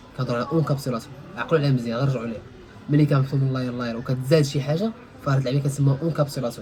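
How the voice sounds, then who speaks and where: Music plays in the background. A man talks with a fairly high pitch and ordinary pitch variation. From Morocco. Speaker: IT instructor. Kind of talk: casual tech tutorial.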